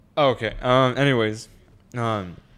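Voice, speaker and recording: A man speaks in a normal speaking voice, his pitch sitting in the middle of his range with ordinary rise and fall. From Mexican-American background, US. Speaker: podcast co-host. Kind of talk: casual chat.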